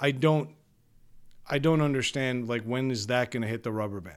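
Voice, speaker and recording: A man's plain, everyday voice, medium in pitch, at a fairly quick pace with ordinary pitch variation. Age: 40s. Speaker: podcast co-host. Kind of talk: casual chat; scripted monologue.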